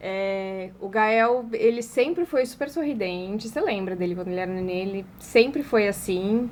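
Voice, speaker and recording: Over noticeable background noise, a woman with a fairly high voice speaks at a moderate pace with hardly any pauses. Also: lively intonation. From Brazil, Paraná. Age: 30s. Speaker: advertising agency owner and influencer. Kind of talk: interview conversation.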